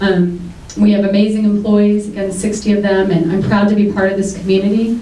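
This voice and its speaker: With noticeable background noise and audible room echo, a woman of medium pitch speaks at a fairly quick pace. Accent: American. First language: Greek. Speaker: city commission candidate, restaurant owner. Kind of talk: candidate debate opening statement.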